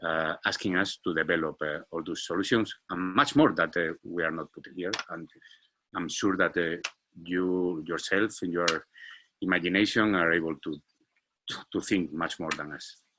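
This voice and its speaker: The voice has a bright, sharp tone and fairly even intonation. The recording is very clean, and the background is silent. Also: man, very deep, low pitch for a man, moderate pace. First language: Spanish. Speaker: startup founder and CEO. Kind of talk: business presentation. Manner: halting, many fillers and repetitions.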